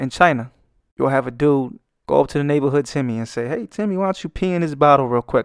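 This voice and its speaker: With a Brooklyn accent, a man speaks in an animated tone at a fairly high pitch with lively intonation, the sound dry and close with no echo and the recording very clean against a silent background. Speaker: artist and YouTuber. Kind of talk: comedic commentary over speedpaint.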